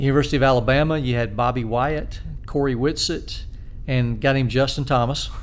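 Very fast, monotone, flat speech in a Southern US accent, with audible room echo. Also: man, medium pitch for a man. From South Carolina (Spartanburg). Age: 50s. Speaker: amateur golfer and high school teacher. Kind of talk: casual interview.

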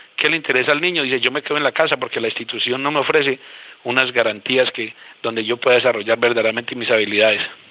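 Noticeable background noise hangs behind a man who rattles along at a very fast pace. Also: medium pitch for a man, fairly even intonation. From Colombia, Boyacá. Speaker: regional education official. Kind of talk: panel discussion. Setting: phone call.

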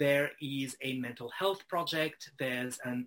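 Speaking with a French accent, a man uses a bright, sharp tone, a fairly high pitch and fairly even intonation. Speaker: writer and editor, freelancer. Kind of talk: interview conversation.

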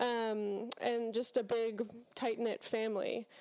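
A woman with an American accent speaks in a normal speaking voice, fairly high in pitch and at a fairly slow pace. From Pittsburgh, western Pennsylvania. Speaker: seminary student. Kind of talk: casual interview. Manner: thoughtful, many fillers.

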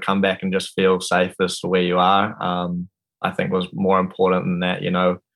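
Speaking at a moderate pace, a man with a New Zealand accent has a fairly low pitch. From New Zealand, Wanaka. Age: 20s. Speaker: professional skier and student. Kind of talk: casual interview.

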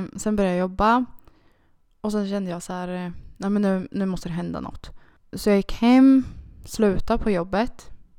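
The recording is very clean, with a silent background. A woman talks at a moderate pace, medium pitch and ordinary pitch variation. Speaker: podcast co-host. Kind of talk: casual chat.

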